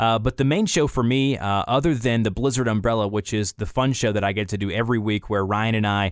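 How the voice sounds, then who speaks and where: A man with a Southern US accent speaks at a fairly low pitch, his loudness very even and his pitch varying in an ordinary way. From US South, Atlanta, Georgia. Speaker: content creator and voice actor. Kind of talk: casual chat.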